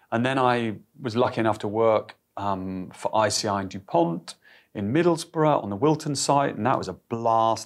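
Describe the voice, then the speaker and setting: An ordinary speaking voice moves at a fairly quick pace with ordinary pitch variation. The background is quiet. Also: man. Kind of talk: interview answer. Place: office. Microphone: lapel.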